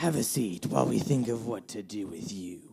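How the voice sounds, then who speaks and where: A put-on character voice, raspy and low in pitch. It moves at a moderate pace. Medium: read story. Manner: smooth, falsely welcoming.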